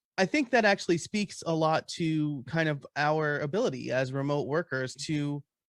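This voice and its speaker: Recorded very cleanly with a silent background and a dry, close sound without echo, the voice has an American accent and ordinary pitch variation. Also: man. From US, New York. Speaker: panel moderator. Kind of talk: casual panel chat.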